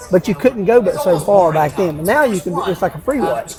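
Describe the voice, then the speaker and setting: Music plays behind a man with an Appalachian accent. His pitch is high, with ordinary variation. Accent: Appalachian Southern US. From western North Carolina, Asheville area. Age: 60s. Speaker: hunter telling a Bigfoot encounter. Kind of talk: storytelling interview.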